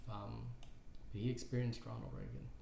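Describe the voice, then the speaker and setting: A man speaks at a medium pitch with a dark, mellow tone. His voice is somewhat breathy, and audible room echo surrounds it. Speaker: caricature artist and YouTuber. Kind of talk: casual tutorial. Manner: halting, many fillers and repeats.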